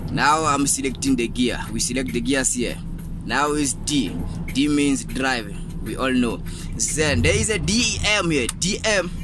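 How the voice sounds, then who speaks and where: Noticeable background noise surrounds a man speaking at a fairly slow pace. The sound is dry with no echo. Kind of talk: tutorial. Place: car. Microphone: phone near.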